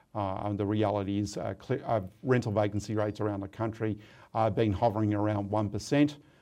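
In an Australian accent, a man talks at a fairly quick pace with a fairly low pitch, a dark, mellow tone and fairly even intonation, over a quiet background. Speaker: property market analyst. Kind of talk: interview.

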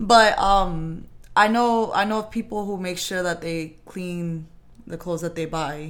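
An ordinary speaking voice with an American accent, fairly slow and fairly even in intonation. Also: woman. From New York. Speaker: co-host. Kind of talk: casual chat. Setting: studio.

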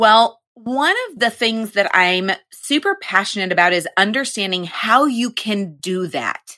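A woman with a plain, everyday voice talks at a fairly high pitch with ordinary pitch variation. She goes at a fairly slow pace with hardly any pauses. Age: 40s. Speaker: network marketing coach and podcast host. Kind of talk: interview conversation.

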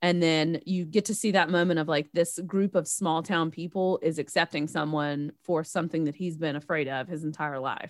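A woman speaks with a fairly low pitch and fairly even intonation. The recording is very clean, with a silent background. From Tennessee. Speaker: podcast co-host. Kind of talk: casual chat about movie.

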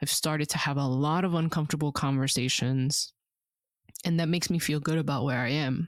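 A woman's very deep, low voice at a fairly quick pace, with fairly even intonation and very even loudness, in a very clean recording with a silent background. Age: 20s. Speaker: podcast co-host. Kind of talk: casual chat.

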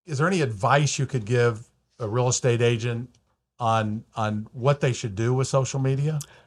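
A man with a medium pitch and ordinary pitch variation talks at a moderate pace in a somewhat breathy voice, on a very clean recording with a silent background. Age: 60s. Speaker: mortgage broker and podcast host. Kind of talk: interview. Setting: studio.

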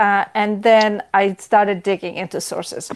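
A woman speaks with a Polish accent. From Poland. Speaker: history professor. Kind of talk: interview.

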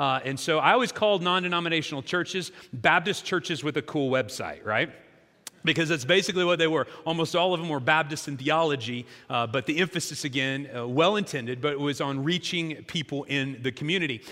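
Speaking fairly quickly, a man has an American accent and a bright, sharp tone. His pitch is fairly high, with ordinary variation. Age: 40s. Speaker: pastor. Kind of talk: sermon. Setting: church.

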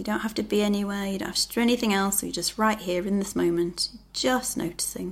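Fairly even intonation marks a woman's speech, her voice somewhat breathy. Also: medium pitch for a woman. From England. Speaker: well-being consultant. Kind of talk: guided meditation; casual interview.

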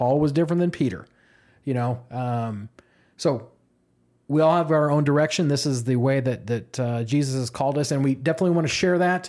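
In an American accent, a man with an ordinary speaking voice talks at a fairly quick pace and fairly high pitch with ordinary pitch variation, on a very clean recording with a silent background. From Oklahoma. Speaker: podcast host, deacon candidate. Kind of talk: casual chat.

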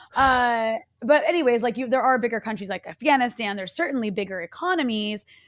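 With an American accent, a woman talks at a very fast pace in a fairly high pitch and lively intonation. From United States. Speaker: podcast host. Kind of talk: interview. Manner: casual, filler-heavy.

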